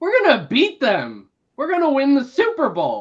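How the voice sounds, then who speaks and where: This put-on character voice is high-pitched, hoarse and strained. It moves at a moderate pace. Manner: determined, tough-guy.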